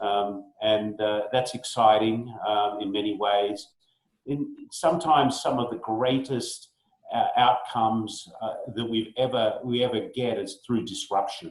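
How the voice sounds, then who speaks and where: There is audible room echo as a man speaks at a fairly slow pace. He has a medium pitch and fairly even intonation. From Australia. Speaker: business executive. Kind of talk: online town hall talk. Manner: hesitant, many fillers.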